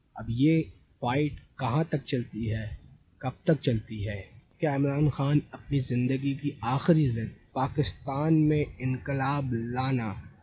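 Somewhat breathy, a man speaks at a very slow pace with ordinary pitch variation, the sound dry with no echo and light background noise behind him. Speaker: storytelling commentator. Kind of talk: commentary. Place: home room.

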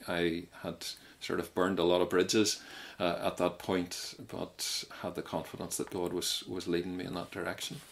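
A man with a Mid Ulster accent, very deep and low in pitch, flat and monotone at a moderate pace. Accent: Northern Irish (Mid-Ulster). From Northern Ireland, County Tyrone. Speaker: Methodist minister, church president. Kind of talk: interview testimony. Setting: radio show recording.

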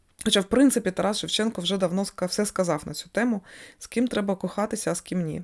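A woman with a Russian accent speaks at a fairly quick pace and medium pitch with ordinary pitch variation, on a very clean recording with a silent background. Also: big swings in loudness. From Kyiv, Ukraine, Russian-speaking family. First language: Russian (speaking Ukrainian). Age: 40s. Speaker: astrologer, video blogger. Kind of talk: personal monologue to camera.

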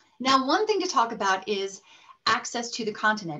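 A woman with an American accent talks at a fairly quick pace in a fairly high pitch. Her tone is bright and sharp, and her pitch swings very widely. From Colorado, US. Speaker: presenter. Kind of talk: webinar presentation. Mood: enthusiastic, warm. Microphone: webcam.

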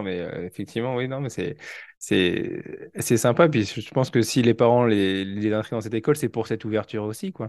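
Against a quiet background, a man speaks at a medium pitch. His pace is moderate. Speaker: teacher and podcast host. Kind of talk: casual interview. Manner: hesitant, lots of fillers.

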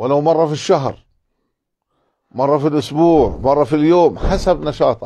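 A man speaks in a fairly high voice with a dark, mellow tone. His pace is fairly slow. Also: quiet background. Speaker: preacher; religious teacher. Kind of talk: religious lesson. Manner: animated. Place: home room. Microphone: lapel.

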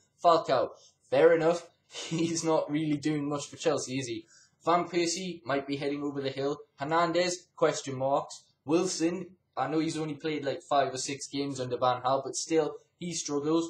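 Here a man talks with an English accent at a moderate pace. His intonation is fairly even, and audible room echo surrounds the voice. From England. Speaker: gaming YouTuber and football fan. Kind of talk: angry rant. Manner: indignant, ranting, emphatic. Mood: frustrated, critical. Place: home room. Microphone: webcam.

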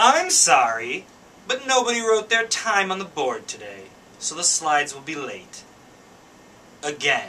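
A man's raised, projected voice, high in pitch with very wide pitch swings and big swings in loudness, at a fairly slow pace with long, frequent pauses, over light background noise. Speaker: lab staff presenter. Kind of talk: scripted comedic skit line. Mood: apologetic, mock exasperated. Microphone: camera far.

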